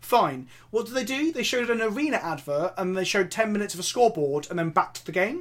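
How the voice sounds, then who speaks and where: Speaking at a very fast pace with hardly any pauses, a man with an English accent uses a high pitch and very wide pitch swings. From England. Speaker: content creator and co-host. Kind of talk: casual chat. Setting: video podcast.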